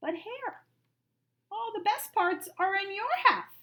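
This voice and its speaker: Squeaky yet growling, a put-on character voice moves at a fairly slow pace. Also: woman, extremely high pitch for a woman. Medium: read story. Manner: slow, grumbling.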